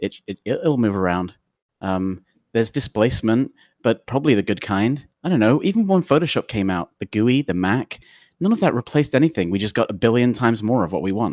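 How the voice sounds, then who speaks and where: A man with a London accent talks at a medium pitch and fairly quick pace with lively intonation, in a dry, close sound with no echo on a very clean recording with a silent background. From London, England. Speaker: technology consultant. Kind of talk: interview.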